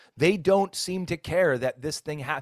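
A man is heard on a very clean recording with a silent background and a dry, close sound with no echo. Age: 50s. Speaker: podcast host and former pastor. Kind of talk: casual interview. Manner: halting, many fillers.

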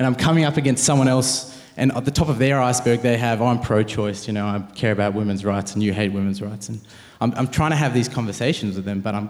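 Room echo is audible as a man with an Australian accent and a medium pitch talks at a very fast pace with hardly any pauses. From Australia, Penrith, Sydney. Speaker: university student and pro-life activist. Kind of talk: interview on stage.

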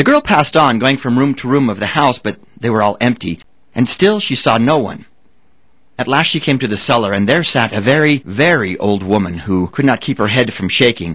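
Here a man talks at a fairly quick pace. His pitch moves in very wide swings. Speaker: audiobook narrator. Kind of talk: fairy-tale audiobook reading, scripted narration. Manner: storyteller's measured pace, dramatic and suspenseful.

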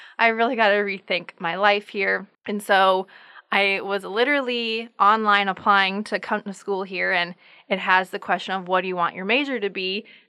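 A woman with an American accent, a bright, sharp tone, medium pitch, fairly even intonation and moderate pace, on a very clean recording with a silent background. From US Midwest, northeastern South Dakota. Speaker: graduate student and small business owner. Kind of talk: casual interview.

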